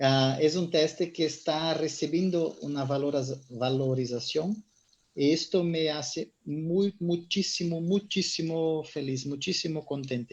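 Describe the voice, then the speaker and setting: Speaking at a very slow pace in a Portuguese accent, a man with a fairly high pitch keeps his intonation fairly even against a quiet background. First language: Portuguese (speaking Spanish). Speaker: lecturer, urinalysis expert. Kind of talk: online lecture.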